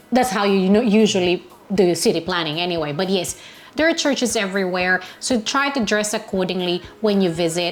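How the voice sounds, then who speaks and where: A woman's medium-pitched voice, with an ordinary amount of pitch variation, sits over noticeable background noise. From Philippines. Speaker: travel vlogger. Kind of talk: travel tips talk. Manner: loud.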